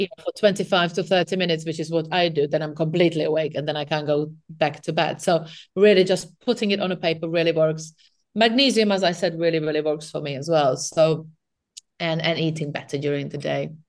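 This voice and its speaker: The speech runs at a fairly quick pace. The background is quiet. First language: not English. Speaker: nutritional therapist. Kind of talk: interview.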